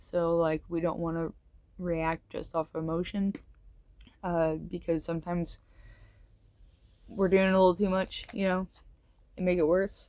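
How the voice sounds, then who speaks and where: A woman mumbles at a fairly slow pace in a dark, mellow tone. Her intonation is monotone and flat, broken by long, frequent pauses. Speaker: tarot reader. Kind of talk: tarot reading monologue. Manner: mumbling; casual, hesitant with fillers.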